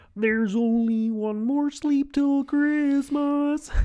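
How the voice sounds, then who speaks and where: A put-on, high-pitched character voice at a very slow pace. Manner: impression.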